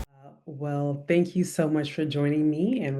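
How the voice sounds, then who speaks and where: In a room with audible echo, a woman speaks at a moderate pace with a very deep, low pitch and a flat, monotone delivery. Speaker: YouTuber sharing former MLM experience. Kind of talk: video introduction; interview.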